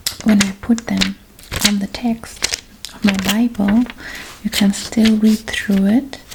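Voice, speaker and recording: Soft-spoken and gentle in tone, a woman talks at a very slow pace with a fairly high pitch and monotone, flat intonation over noticeable background noise. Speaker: ASMR creator. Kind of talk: ASMR show-and-tell talk to camera. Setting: lo-fi, close-mic home recording. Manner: soft-spoken, gentle.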